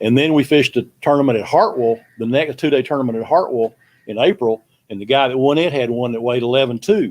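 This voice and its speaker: Speaking very fast, a man uses a Southern US accent at a medium pitch. His pitch varies in an ordinary way. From Texas. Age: 60s. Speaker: veteran bass angler. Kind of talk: casual chat.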